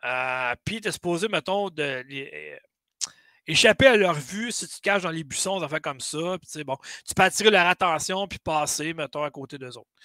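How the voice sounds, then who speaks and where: A man with a Quebec accent, bright and sharp in tone, with lively intonation, big swings in loudness and a moderate pace, recorded dry with no echo against a quiet background. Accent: Québécois French. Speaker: gaming podcast host. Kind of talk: casual chat. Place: home room.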